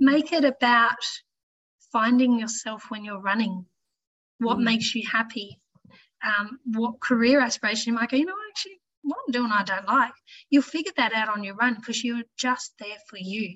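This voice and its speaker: Long, frequent pauses mark this woman's fairly high voice in an Australian accent. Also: ordinary pitch variation, moderate pace, big swings in loudness. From Tasmania, Australia (Launceston). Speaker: ICU nurse and amateur runner. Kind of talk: casual interview chat.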